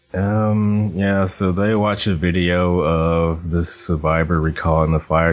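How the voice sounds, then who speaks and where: Noticeable background noise sits behind a man with a very deep, low pitch. He talks at a fairly slow pace with fairly even intonation. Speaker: podcast host. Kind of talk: casual chat.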